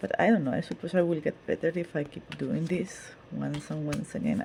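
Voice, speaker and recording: The speaker is a woman with a non-native accent. She talks at a medium tempo. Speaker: tarot reader. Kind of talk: casual monologue. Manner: halting, with repetitions.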